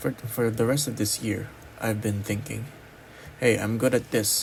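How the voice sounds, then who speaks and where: With a non-native accent, the speaker keeps a moderate pace amid noticeable background noise. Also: man. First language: not English. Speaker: college student. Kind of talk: personal vlog monologue. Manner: halting, many pauses.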